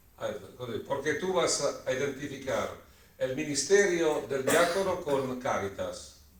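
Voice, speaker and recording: Noticeable background noise and audible room echo accompany a man who talks very slowly. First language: Italian (speaking Spanish). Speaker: lecturer on the diaconate. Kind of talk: answering audience question. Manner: halting, searching for words.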